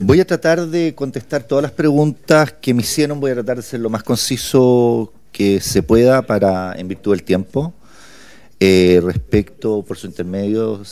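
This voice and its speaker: A man talks with very wide swings in his pitch. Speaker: candidate for human rights council. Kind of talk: parliamentary committee hearing testimony. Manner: halting, many fillers and repetitions.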